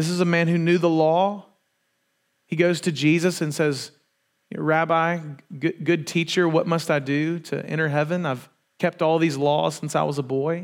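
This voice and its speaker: A man talks at a moderate pace in a flat monotone. The recording is very clean with a silent background. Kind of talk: sermon. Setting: church. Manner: casual, conversational.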